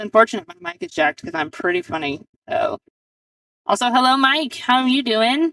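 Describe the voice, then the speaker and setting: Loud and at a fairly quick pace, a woman with a high pitch speaks with very wide pitch swings in a dry, close sound with no echo. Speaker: pool match commentator. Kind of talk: live commentary. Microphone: poor mic, hard to hear, switched headsets.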